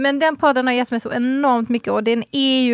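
Recorded very cleanly against a silent background with a dry, close sound and no echo, a woman with an ordinary speaking voice and a fairly high pitch talks at a fairly quick pace. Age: 40s. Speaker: podcast co-host. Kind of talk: casual chat.

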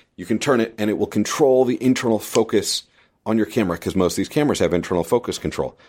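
In a very clean recording with a silent background, a man talks at a very fast pace, medium pitch and ordinary pitch variation. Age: 40s. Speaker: filmmaking technology podcast host. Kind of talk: solo podcast monologue. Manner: casual, conversational.

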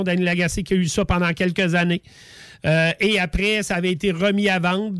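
A man speaks at a high pitch with fairly even intonation. The recording is very clean, with a silent background. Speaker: racing series promoter. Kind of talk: radio interview.

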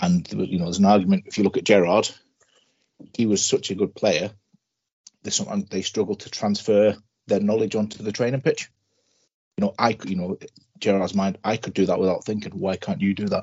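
At a fairly quick pace, a man speaks with long, frequent pauses. His pitch is fairly low, with ordinary pitch variation. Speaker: football fan panelist.

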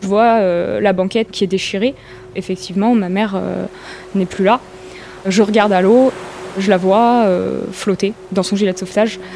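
Against noticeable background noise, a woman of medium pitch speaks at a fairly slow pace in a monotone, flat intonation, with very even loudness and long, frequent pauses. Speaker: accident survivor. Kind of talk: testimony.

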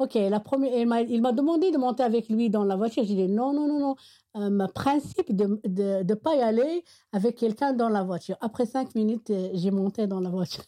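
A woman's fairly high, dark, mellow voice with an Arabic accent, lively intonation, very even loudness and a moderate pace, in a dry, close sound with no echo. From Morocco, Meknès. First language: Arabic (speaking French). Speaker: Arabic teacher. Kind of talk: interview testimony. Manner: halting, many hesitations.

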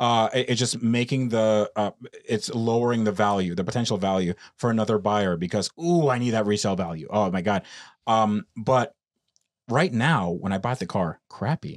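On a very clean recording with a silent background, a man with an American accent uses a normal speaking voice, fairly low pitch, ordinary pitch variation and a moderate pace. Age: 30s. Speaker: car YouTuber. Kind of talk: casual chat. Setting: in a van.

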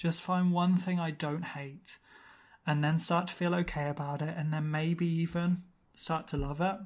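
A man with a British accent speaks in a high, monotone, flat voice, recorded very cleanly against a silent background. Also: moderate pace. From UK. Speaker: podcaster and model. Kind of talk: casual interview chat.

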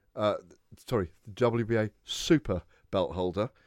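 A man with a British accent, fairly low in pitch, at a fairly slow pace, in a very clean recording with a silent background and a dry, close sound with no echo. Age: 40s. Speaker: boxing radio host. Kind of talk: sports radio talk show.

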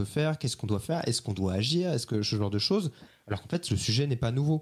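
A somewhat breathy man's voice at medium pitch on a very clean recording with a silent background. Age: 30s. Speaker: journalist. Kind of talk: interview.

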